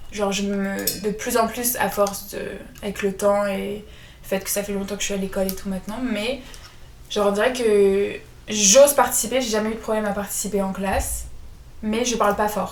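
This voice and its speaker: Monotone, flat intonation at a moderate pace, with long, frequent pauses, audible room echo and noticeable background noise. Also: woman, medium pitch for a woman. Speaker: podcast co-host. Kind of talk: casual chat. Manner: soft-spoken. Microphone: poor sound quality at start.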